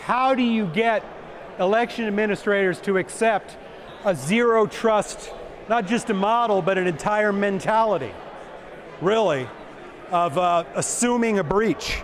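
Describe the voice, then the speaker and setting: Amid noticeable background noise, a man with a high pitch keeps very even loudness and ordinary pitch variation, speaking at a fairly slow pace with long, frequent pauses. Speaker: election official. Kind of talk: conference Q&A.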